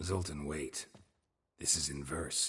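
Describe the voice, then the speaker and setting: With a very deep, low pitch, the man performs a put-on character voice. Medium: video game. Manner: terse, deadpan.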